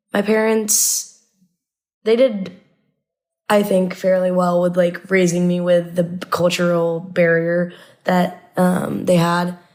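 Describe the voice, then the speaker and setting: The speech comes in a Midwestern US accent at a very slow pace. Its intonation is monotone and flat. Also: woman. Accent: US Midwest. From Indiana, US Midwest. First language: Arabic. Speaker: college student. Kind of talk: casual chat. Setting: podcast recording.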